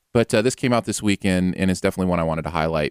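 Delivered at a very fast pace with ordinary pitch variation, the voice has a dry, close sound with no echo. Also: man. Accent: American. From Michigan, US Midwest. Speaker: music podcast host. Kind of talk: casual chat. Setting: live-streamed podcast. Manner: animated.

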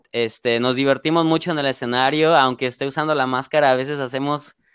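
In a monotone, flat intonation, a man with medium pitch speaks, the sound dry and close with no echo. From Mexico, Salamanca, Guanajuato. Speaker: metal band guitarist. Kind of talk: casual interview. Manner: hesitant, many fillers.

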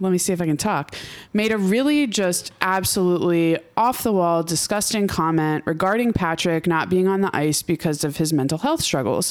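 The woman has a plain, everyday voice, fairly low in pitch, and speaks at a moderate pace with ordinary pitch variation. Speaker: hockey podcast host. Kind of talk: casual chat.

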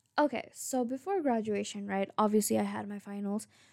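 A woman with a non-native accent speaks at a fairly high pitch and a moderate pace, with fairly even intonation and a dry, close sound with no echo. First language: not English. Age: 20s. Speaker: podcaster. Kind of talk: casual monologue. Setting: recording alone at home late at night.

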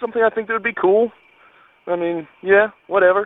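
It's a man with a high voice. His pitch varies in an ordinary way. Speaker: caller. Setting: phone call. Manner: fast talker.

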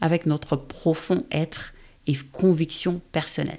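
A woman with a fairly low pitch speaks very slowly. The recording is very clean, with a silent background. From Senegal. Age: 30s. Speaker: podcast host. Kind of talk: podcast trailer monologue.

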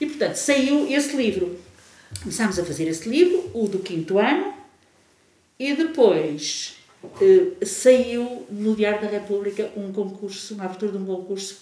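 Her pitch medium and her intonation lively, a woman speaks at a moderate pace with long, frequent pauses, amid audible room echo and noticeable background noise. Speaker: music teacher and researcher. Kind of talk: casual chat. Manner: animated, laughing.

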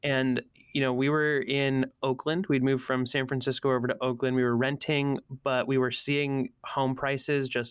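A man with an American accent at medium pitch and moderate pace, monotone and flat in intonation, very even in loudness, in a dry, close sound with no echo. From US Northeast, Allentown, Pennsylvania. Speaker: creative strategist. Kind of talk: casual interview chat.

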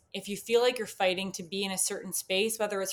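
Here is a woman with a Canadian accent and an ordinary speaking voice. Her pitch is medium and her intonation fairly even. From Canada. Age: 20s. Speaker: podcast guest. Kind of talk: casual chat.

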